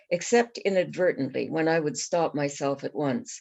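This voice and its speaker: A woman's very deep, low voice at a moderate pace with ordinary pitch variation. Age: 70s. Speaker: author. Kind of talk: reading aloud. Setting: online reading event.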